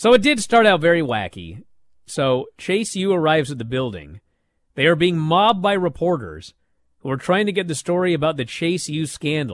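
Over a quiet background, a man with an ordinary speaking voice and a fairly high pitch talks at a moderate pace with lively intonation. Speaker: wrestling podcast host. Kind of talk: casual chat.

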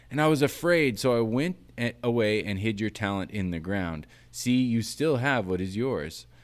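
Speaking at a moderate pace, a man uses an ordinary speaking voice at a medium pitch. The recording is very clean, with a silent background. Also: lively intonation. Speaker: podcast host and producer. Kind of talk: casual chat. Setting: in-person recording.

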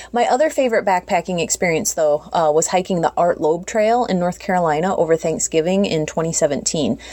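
Speaking with an American accent, a woman uses an unremarkable speaking voice at a medium pitch. Her intonation is lively and her pace moderate. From Minnesota/South Dakota, US. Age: 40s. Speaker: thru hiker and nurse practitioner. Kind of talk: solo audio diary. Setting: home kitchen recording.

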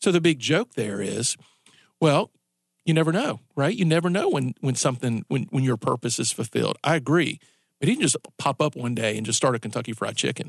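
A man's plain, everyday voice at medium pitch, fairly quick in pace, with a dry, close sound, no echo and a quiet background. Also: lively intonation. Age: 40s. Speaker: radio talk show host. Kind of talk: live talk radio patter leading into a commercial break, teasing the next segment. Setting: radio studio, broadcast live on air and Facebook Live. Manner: loose, conversational, with repeated words and self-restarts; chuckling, upbeat teaser delivery.

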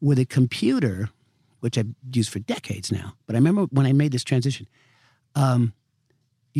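A man talks at a fairly quick pace with a medium pitch, somewhat breathy and dark, mellow in tone. The sound is dry and close, with no echo. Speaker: screenwriter. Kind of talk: casual interview. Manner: relaxed, conversational.

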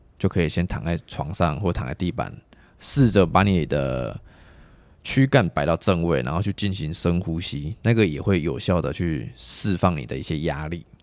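A man speaks with a very deep, low pitch and lively intonation. Vocal fry runs through his voice. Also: moderate pace. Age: 20s. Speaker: traditional massage therapist. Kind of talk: casual interview.

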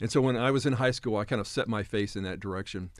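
Over a silent background in a very clean recording, a man talks very fast at medium pitch with ordinary pitch variation. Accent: American. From Japan (American missionary kid). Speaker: professor and former missionary. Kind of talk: interview.

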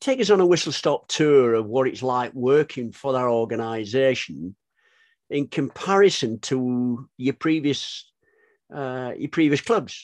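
With an ordinary speaking voice, a man talks at a fairly slow pace with medium pitch and ordinary pitch variation, the sound dry and close with no echo over a quiet background. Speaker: podcast co-host. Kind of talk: interview.

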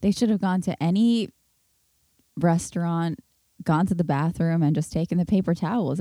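Soft-spoken and with an American accent, a woman speaks in a fairly low pitch with a dark, mellow tone, ordinary pitch variation and a moderate pace. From New York City. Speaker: podcast host. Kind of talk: casual chat.

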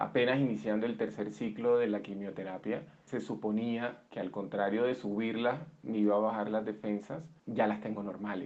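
Fairly even intonation marks a man's fairly low-pitched speech. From Colombia, Barranquilla (Caribbean coast). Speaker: interviewee sharing illness story. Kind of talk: personal testimony. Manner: halting, many repetitions and fillers.

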